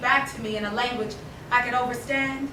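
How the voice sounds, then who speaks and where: A woman speaks in a raised, projected voice at a fairly slow pace. Noticeable background noise and audible room echo are present. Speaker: poet. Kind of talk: poetry reading. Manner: loud.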